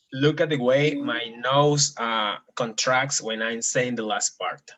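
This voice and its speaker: Very slowly, a man talks. He has a Spanish accent. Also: medium pitch for a man, fairly even intonation. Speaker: Spanish teacher. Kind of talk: language lesson. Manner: slow, clear enunciation.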